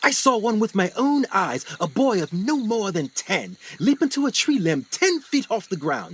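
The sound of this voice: A man's put-on character voice, high-pitched with a fairly bright tone and slightly husky edge, very wide pitch swings, moderate pace.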